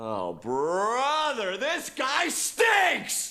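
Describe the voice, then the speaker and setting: Someone talks loudly in a put-on character voice over light background noise. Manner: loud, annoyed, disgusted.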